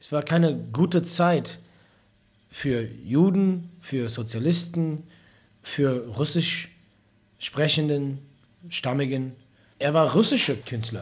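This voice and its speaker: A man speaks very slowly with an English accent, his voice fairly high and somewhat breathy, with lively intonation. Long pauses come often, and the recording is very clean with a silent background. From US, Detroit, Michigan. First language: English (speaking German). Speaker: musician. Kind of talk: interview.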